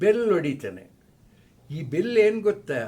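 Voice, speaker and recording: With audible room echo, a man speaks using lively intonation. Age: old. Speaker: retired psychology professor. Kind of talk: informal lecture. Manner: halting.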